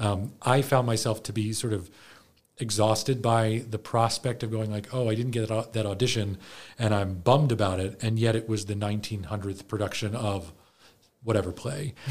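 At a moderate pace, a man talks in a fairly low, somewhat breathy voice with fairly even intonation. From US, Baltimore area. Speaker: theater program director and actor. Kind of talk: interview conversation. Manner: halting, many fillers and restarts.

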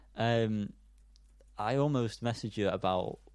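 Against a quiet background, a man with a British accent talks very slowly at a fairly low pitch. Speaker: podcast co-host. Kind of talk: casual chat.

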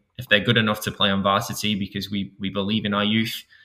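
A man with a Manchester accent speaks at a very fast pace. His voice is fairly low, and his intonation stays monotone and flat. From England, Manchester. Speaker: high school soccer coach. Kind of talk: interview. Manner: halting, many repetitions.

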